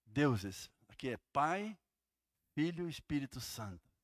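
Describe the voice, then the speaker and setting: Fairly high male voice, lively in intonation and fairly slow in pace, on a very clean recording with a silent background. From Santa Catarina, southern Brazil (Jaraguá do Sul). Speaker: pastor. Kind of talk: sermon. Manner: animated.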